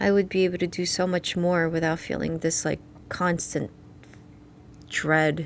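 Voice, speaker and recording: Her fairly low voice stays monotone and flat, and this woman leaves long, frequent pauses. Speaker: psychologist. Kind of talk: casual chat. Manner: slow.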